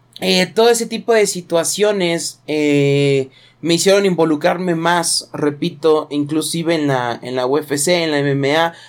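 A plain, everyday voice from a man, fairly high in pitch, with ordinary pitch variation, a fairly slow pace and hardly any pauses. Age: 20s. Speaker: youtuber and sports bettor. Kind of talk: solo podcast monologue. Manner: casual, with fillers.

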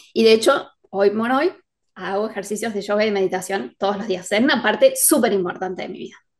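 A woman at a medium pitch with ordinary pitch variation, a very fast pace and big swings in loudness. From Argentina, Córdoba. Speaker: writer and editor. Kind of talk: interview conversation. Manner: laughs often.

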